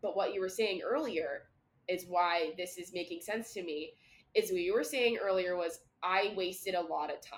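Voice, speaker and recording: Medium in pitch, a woman speaks in a normal speaking voice. Her pace is moderate and her pitch variation ordinary. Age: 20s. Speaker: podcast co-host. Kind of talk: casual chat.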